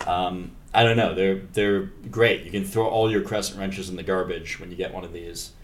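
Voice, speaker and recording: With audible room echo, a man talks fairly quickly at a fairly low pitch in a monotone, flat way, with big swings in loudness. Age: 30s. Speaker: podcast host and robotics engineer. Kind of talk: casual chat.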